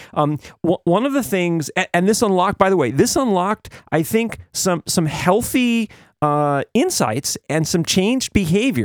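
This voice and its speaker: In a very clean recording with a silent background, a man speaks at a high pitch with very wide pitch swings, very even loudness, and a dry, close sound with no echo. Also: moderate pace. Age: 60s. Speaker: podcast host. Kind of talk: personal monologue. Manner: halting, with frequent fillers and repeated words.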